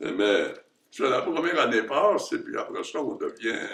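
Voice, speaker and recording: A man speaks at a very slow pace. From Quebec, Nicolet region. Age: 90s. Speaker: retired surgeon. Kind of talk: interview. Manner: halting.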